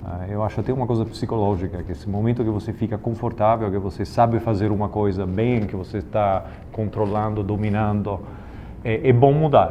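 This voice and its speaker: A man with a fairly low voice talks at a moderate pace, his intonation fairly even. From Italy. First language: Italian (speaking Portuguese). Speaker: investment bank executive. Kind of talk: informal talk with students, Q&A. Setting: company office. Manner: halting, many fillers.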